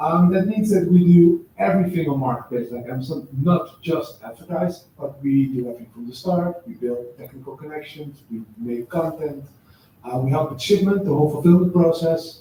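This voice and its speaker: A man with a Dutch accent and a fairly high pitch talks at a moderate pace, with big swings in loudness. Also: ordinary pitch variation. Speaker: agency founder. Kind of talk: live panel interview. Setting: office stage with live audience.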